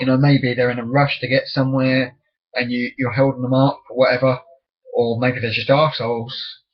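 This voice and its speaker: With an English accent, a man talks at a medium pitch and a fairly quick pace. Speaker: vlogger. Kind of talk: casual webcam monologue.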